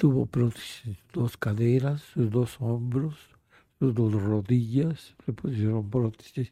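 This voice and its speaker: Speaking very slowly, a man with a somewhat breathy, dark, mellow tone shows ordinary pitch variation and big swings in loudness. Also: medium pitch for a man. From Mexico City. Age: 80s+. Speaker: retired grandfather, amateur painter. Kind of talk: life-story interview. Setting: at home.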